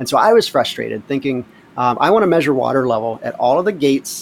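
A man with an American accent talks at a fairly quick pace, his pitch fairly high and his intonation lively. Noticeable background noise sits behind him. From US East Coast, Pittsburgh-born. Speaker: oceanography professor. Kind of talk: interview.

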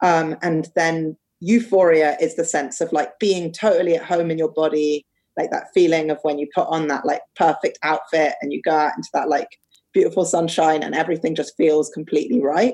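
A woman's fairly low, dark, mellow voice with a London accent, at a fairly quick pace with ordinary pitch variation. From London, England. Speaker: artist and educator. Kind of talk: casual chat.

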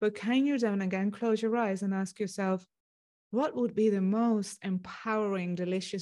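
A woman's dark, mellow, medium-pitched voice with a Dutch accent, moderate pace and ordinary pitch variation, on a very clean recording with a silent background. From Netherlands. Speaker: success coach. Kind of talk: interview.

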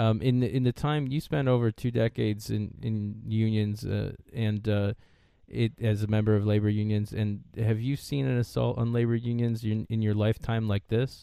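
A man delivers an unremarkable speaking voice at medium pitch, with fairly even intonation, a moderate pace, and very even loudness. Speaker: podcast host. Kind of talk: casual interview.

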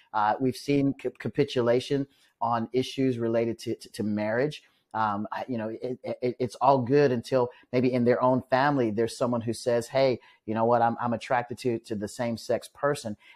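With an American accent, a man speaks at a moderate pace in a monotone, flat intonation against a quiet background. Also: medium pitch for a man. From Omaha, Nebraska. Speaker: ministry executive and podcast co-host. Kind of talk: casual interview. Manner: halting, many repeated words.

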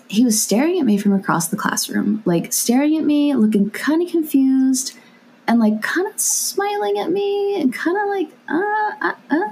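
A woman with an American accent speaks at a moderate pace and high pitch with very wide pitch swings, over noticeable background noise. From California. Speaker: guest. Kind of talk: casual chat.

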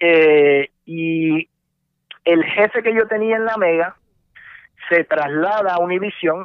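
This man's voice is high-pitched. It rises and falls with ordinary variation. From Puerto Rico and mainland US. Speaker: radio host. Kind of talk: casual interview.

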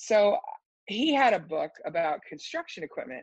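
A woman speaks with an American accent. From Pennsylvania. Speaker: dairy farmer. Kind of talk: casual chat.

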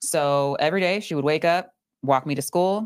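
This woman's pitch is very deep and low. She has an American accent. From Arizona, US. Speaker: doula and bodybuilder. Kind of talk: interview.

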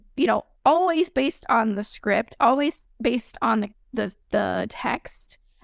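A fairly high-pitched woman's voice with an American accent and vocal fry, dry and close with no echo, very clean recording with a silent background. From Texas. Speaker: actress. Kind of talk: casual interview chat.

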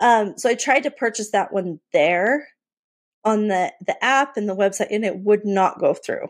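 On a very clean recording with a silent background, a woman with an unremarkable speaking voice talks at a moderate pace, fairly high in pitch with ordinary pitch variation. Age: 40s. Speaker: Disney fan and travel guest. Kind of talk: casual chat.

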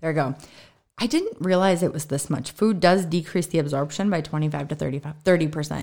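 The pace here is moderate. Pitch variation is ordinary. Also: woman, very deep, low pitch for a woman. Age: 50s. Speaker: physician and podcast co-host. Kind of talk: casual medical discussion. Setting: basement recording space.

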